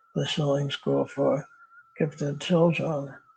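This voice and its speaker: A man speaks over noticeable background noise. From United States. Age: 80s+. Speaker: retired philosophy professor. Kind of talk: interview. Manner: halting.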